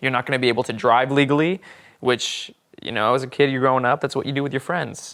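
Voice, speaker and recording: Speaking with an American accent, the voice moves at a very fast pace with fairly even intonation. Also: man. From Oklahoma. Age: 20s. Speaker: stage actor. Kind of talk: interview. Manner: casual, many fillers.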